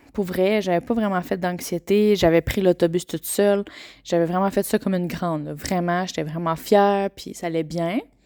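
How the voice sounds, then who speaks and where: The woman's dark, mellow voice sits at a medium pitch and moderate pace with fairly even intonation, dry and close with no echo on a very clean recording against a silent background. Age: 20s. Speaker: podcaster. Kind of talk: personal testimony. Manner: hesitant with many fillers.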